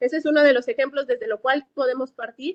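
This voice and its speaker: Talking at a fairly quick pace, a woman shows ordinary pitch variation. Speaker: civil protection expert, course speaker. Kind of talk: Q&A after a lecture. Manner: fast; many fillers and self-corrections.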